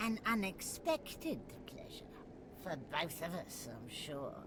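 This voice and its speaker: Whispering in a put-on character voice at a fairly slow pace, the speaker is heard over loud background noise. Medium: video game.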